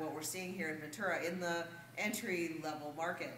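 With audible room echo and light background noise, a woman talks at a fairly quick pace in a fairly low pitch with fairly even intonation. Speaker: real estate agent. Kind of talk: promotional market update video. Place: meeting room. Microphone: camera far.

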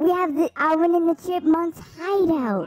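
A woman puts on a character voice with an extremely high pitch. She speaks at a moderate pace. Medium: game stream. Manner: hyper, excitable.

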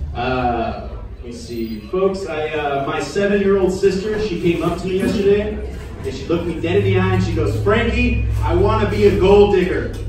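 Strong room echo fills this recording of a man talking at a moderate pace. There is light background noise as well. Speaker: stand-up comedian. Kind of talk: stand-up comedy. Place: bar.

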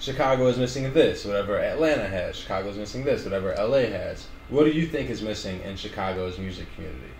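Over light background noise and audible room echo, a man speaks at a very fast pace with lively intonation. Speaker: interviewer. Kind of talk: casual chat. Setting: studio. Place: office.

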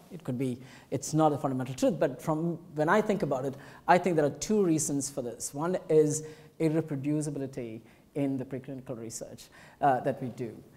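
With a dark, mellow tone, a man talks at a fairly quick pace and a fairly high pitch, his pitch varying in an ordinary way. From India (Madras/Chennai). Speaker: professor giving inaugural lecture. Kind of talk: lecture. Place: hall.

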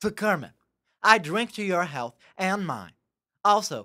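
At a fairly slow pace, a woman speaks with a bright, sharp tone, medium pitch and vocal fry. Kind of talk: stand-up roast set.

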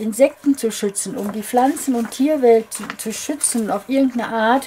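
Light background noise sits behind a woman with a high voice. She talks at a moderate pace with ordinary pitch variation. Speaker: crafter vlogger. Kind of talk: casual vlog chat. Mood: indignant, worried.

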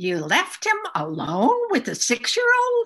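A female-sounding voice uses a put-on character voice at an extremely high pitch. The delivery comes at a fairly slow pace. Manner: yelling, angry, accusing.

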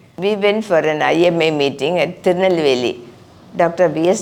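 A woman with a fairly low voice talks with ordinary pitch variation while background noise is noticeable. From Kerala, Palakkad. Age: 80s+. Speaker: retired doctor. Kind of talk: life story interview.

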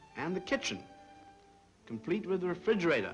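Background music is playing. Over it, a man talks with an American accent. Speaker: architect. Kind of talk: interview answer, presentation of a model.

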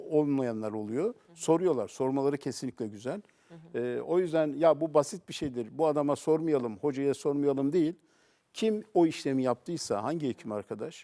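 On a very clean recording with a silent background, a man speaks in a fairly high voice with a dark, mellow tone and lively intonation. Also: moderate pace. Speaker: cardiovascular surgeon. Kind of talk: TV talk show interview. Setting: TV studio.

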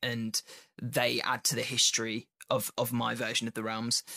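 A man with a British accent, medium pitch, bright, sharp tone and moderate pace, in a dry, close sound with no echo on a very clean recording with a silent background. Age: 20s. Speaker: podcast host. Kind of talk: casual chat.

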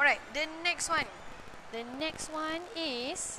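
A woman speaks in a raised, projected voice at a very slow pace, with noticeable background noise. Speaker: parenting show host. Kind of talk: live-stream talk. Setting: gym during children's classes. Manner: hesitant, many fillers.

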